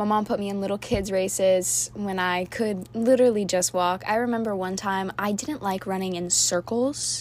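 With an American accent, a woman speaks at a medium pitch and a moderate pace, animated in tone, with ordinary pitch variation and hardly any pauses. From Florida, Orlando area. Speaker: podcast host, college athlete. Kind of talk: casual monologue.

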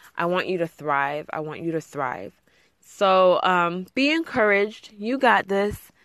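A woman talks in a plain, everyday voice of medium pitch with lively intonation. She goes at a fairly slow pace over a quiet background. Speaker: podcast host and blogger. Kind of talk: fervent prayer, spoken earnestly to God and to listeners; solo podcast monologue, casual and encouraging. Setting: home closet recording alone. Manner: warm, sincere, heartfelt, with a soft earnest tone; casual, chatty, with frequent fillers and laughs.

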